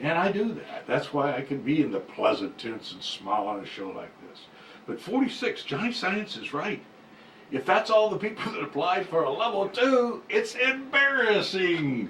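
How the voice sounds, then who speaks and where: A man with a high pitch makes very wide pitch swings and big swings in loudness over noticeable background noise. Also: moderate pace. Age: 60s. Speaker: cannabis business show host and minister. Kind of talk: casual chat.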